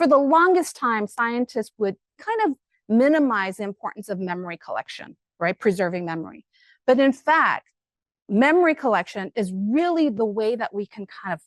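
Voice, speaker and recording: In an American accent, a woman speaks at a fairly high pitch and a moderate pace, with very wide pitch swings, in a dry, close sound with no echo over a quiet background. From Korea-born, raised in the US. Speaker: professor. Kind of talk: lecture. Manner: animated.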